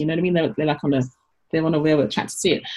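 A woman speaks in a somewhat breathy voice. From London, England. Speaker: business coach and author. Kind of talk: interview conversation.

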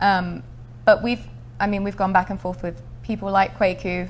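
The speaker is a woman. She talks in a southern English accent. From Essex, England. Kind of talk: interview. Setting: studio.

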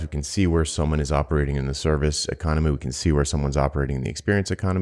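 A man speaks very fast with an American accent. His pitch is very deep and low, with vocal fry. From US Northeast (Rhode Island). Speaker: podcast co-host, business consultant. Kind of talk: casual chat.

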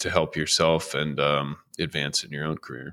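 A man's bright, sharp voice on a very clean recording with a silent background. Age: 30s. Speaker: software consultant and teacher. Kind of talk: interview. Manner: halting, many fillers.

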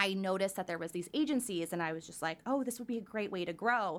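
A woman speaks in a plain, everyday voice with a Canadian accent. Her pitch is medium, with ordinary pitch variation. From Surrey, British Columbia, Canada. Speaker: candle business owner. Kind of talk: casual interview chat.

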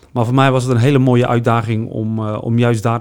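A man's normal speaking voice at medium pitch, moderate pace, with fairly even intonation. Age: 40s. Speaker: neighbourhood police officer. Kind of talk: interview.

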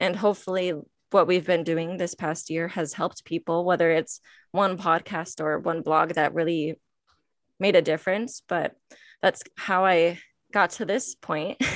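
An unremarkable speaking voice from a woman with an American accent, fairly low-pitched and fairly even in intonation, at a moderate pace, dry and close with no echo, on a very clean recording with a silent background. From Michigan, US. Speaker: nonprofit staff member and podcast host. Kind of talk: interview.

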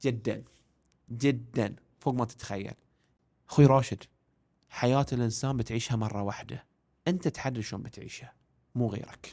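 A man speaks at a moderate pace and medium pitch with ordinary pitch variation. His tone is dark and mellow, broken by long, frequent pauses. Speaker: education and career coach. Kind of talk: casual interview.

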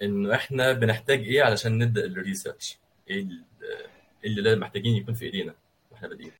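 Speaking very fast, a man at medium pitch sounds somewhat breathy, with fairly even intonation. His loudness swings a lot. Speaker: podcast host. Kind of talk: casual interview.

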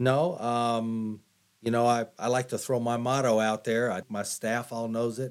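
A man's medium-pitched, monotone voice with flat intonation, at a fairly slow pace on a very clean recording with a silent background. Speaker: law enforcement director. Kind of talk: interview.

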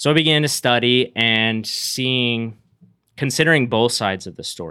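A man's voice with an American accent and ordinary pitch variation. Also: very clean recording, silent background. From upstate New York. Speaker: pastoral intern and factory worker. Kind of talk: casual interview, personal testimony. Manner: hesitant fillers.

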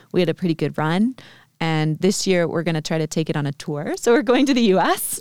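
Using an ordinary speaking voice with an American accent, a woman of fairly low pitch talks at a fairly quick pace with lively intonation, the sound dry and close with no echo on a very clean recording over a silent background. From US, Vermont. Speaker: aerial silks instructor. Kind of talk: casual interview.

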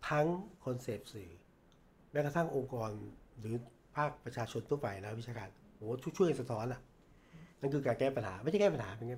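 Lively intonation marks this man's somewhat breathy, medium-pitched voice. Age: 50s. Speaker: veteran journalist and former media executive. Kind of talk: interview.

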